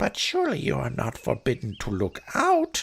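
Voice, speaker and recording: Someone delivers lines in a put-on character voice, neither fast nor slow but at a moderate pace. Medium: read story. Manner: wheedling.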